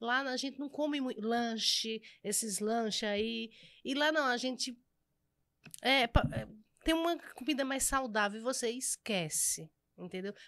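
Against a quiet background, a woman with a high pitch speaks at a fairly slow pace, leaving long, frequent pauses. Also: ordinary pitch variation. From Pernambuco, rural area near Garanhuns; Pernambuco, Brazil. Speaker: pastry cook and entrepreneur; podcast guest. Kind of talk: casual interview chat. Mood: warm, lively, at times emotional. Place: studio. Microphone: studio mic.

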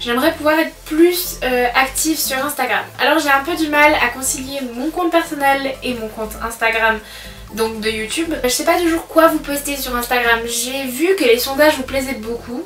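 A woman speaks at a high pitch with ordinary pitch variation and a fairly bright tone. Her pace is moderate, with faint background noise.

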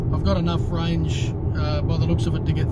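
A man amid loud background noise. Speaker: road trip vlogger driving. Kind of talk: casual vlog chat. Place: car. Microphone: phone near.

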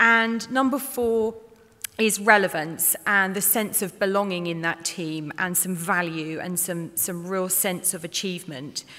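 The tone is bright and sharp. The pace is fairly slow. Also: woman, ordinary pitch variation. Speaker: speaker. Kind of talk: conference presentation. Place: hall. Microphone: podium.

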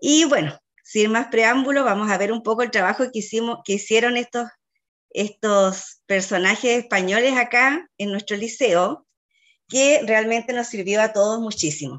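A woman with a Chilean accent speaks at a fairly slow pace in a fairly high pitch. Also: ordinary pitch variation. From Chile, Chiloé (Ancud). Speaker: school teacher. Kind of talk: online seminar presentation.

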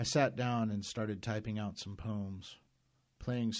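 The text is read aloud in a natural voice. Intonation remains fairly even throughout.

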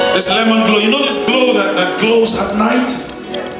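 Loud music plays in the background while a man speaks with audible room echo. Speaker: pastor, prophetic minister. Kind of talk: prophetic ministry, word of knowledge delivered to a person. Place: church.

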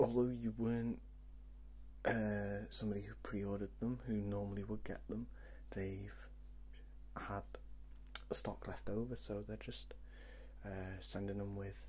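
Soft-spoken and somewhat breathy, a man with a very deep, low pitch talks in a gentle, dark, mellow tone at a fairly slow pace with long, frequent pauses, over light background noise. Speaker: video game vlogger. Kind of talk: casual vlog chat. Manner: soft-spoken, gentle ASMR murmur. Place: home room. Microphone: webcam.

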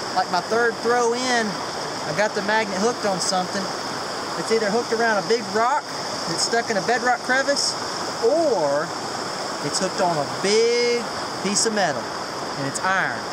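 Loud background noise fills the recording. The speaker keeps a moderate pace with ordinary pitch variation. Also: man. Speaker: outdoor explorer vlogger. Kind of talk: casual vlog chat. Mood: mildly disappointed, easygoing. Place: waterside. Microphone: phone near.

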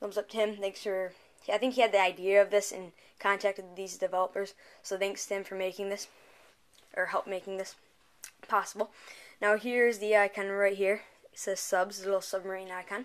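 Speaking at a fairly quick pace, a woman keeps a monotone, flat intonation. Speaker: app reviewer. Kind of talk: casual tutorial review. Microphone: camera far.

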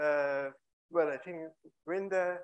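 Against a quiet background, a woman speaks at a fairly low pitch. Her pace is fairly slow and her intonation fairly even. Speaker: invited physics lecturer. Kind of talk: lecture. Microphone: video call.

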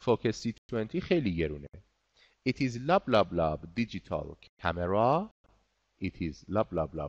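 Against a quiet background, a man with a fairly low pitch speaks at a moderate pace, his pitch swinging very widely and his pauses long and frequent. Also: dry, close sound with no echo. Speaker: English teacher. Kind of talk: online class lesson. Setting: online class.

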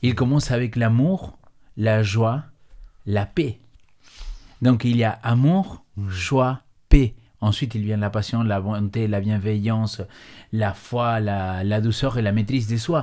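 A man with an Argentine accent speaks at a very slow pace and medium pitch, his tone dark and mellow. He uses ordinary pitch variation and long, frequent pauses against a quiet background. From Argentina. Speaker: pastor. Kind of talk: bible study discussion. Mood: earnest, calm. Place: studio. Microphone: studio mic.

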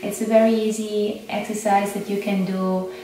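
A woman speaks with audible room echo. There is light background noise. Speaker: yoga instructor and meditation guide. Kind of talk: casual intro talk to camera. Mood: calm, gentle. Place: home room. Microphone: camera far.

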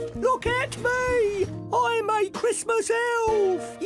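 A put-on character voice at an extremely high pitch speaks very slowly over clear background music. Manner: playful.

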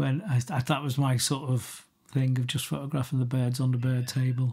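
A man with a Liverpool accent talks at a fairly quick pace in a somewhat breathy voice, recorded very cleanly against a silent background. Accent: Scouse (Liverpool). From Liverpool, England. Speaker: photographer. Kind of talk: interview conversation. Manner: halting, many restarts.

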